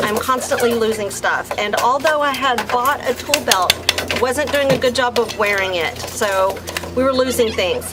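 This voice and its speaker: Against noticeable background noise, a high-pitched woman with an American accent speaks at a moderate pace with lively intonation. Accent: Texas accent, stronger when hot and tired. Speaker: vlogger renovating a house. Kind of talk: vlog narration.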